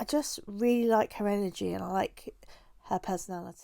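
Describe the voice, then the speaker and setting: Someone with a British accent speaks at a fairly slow pace with ordinary pitch variation, in a very clean recording with a silent background and a dry, close sound with no echo. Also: woman. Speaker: booktuber. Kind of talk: casual vlog talk to camera. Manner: hesitant, many fillers.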